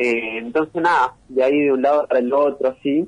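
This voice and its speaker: The speaker is a man with a medium-pitched voice. He talks at a moderate pace with fairly even intonation. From Argentina, San Miguel de Tucumán. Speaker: rapper and music producer. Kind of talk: interview.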